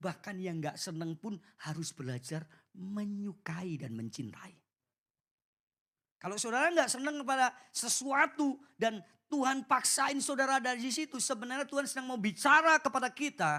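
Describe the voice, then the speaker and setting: The delivery is animated and moderately paced, captured in a very clean recording with a silent background. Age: 40s. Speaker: preacher. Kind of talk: sermon.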